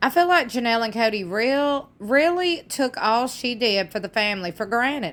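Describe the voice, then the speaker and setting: In a Southern US accent, a woman speaks at a fairly high pitch and a moderate pace. Her pitch swings very widely. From US South. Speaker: YouTube commentator. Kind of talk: casual commentary reading fan comments. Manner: animated.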